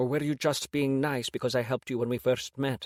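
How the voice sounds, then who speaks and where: Someone uses a put-on character voice at a fairly quick pace. The intonation is flat and monotone. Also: man, dry, close sound with no echo. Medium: read story. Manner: soft, somewhat shy.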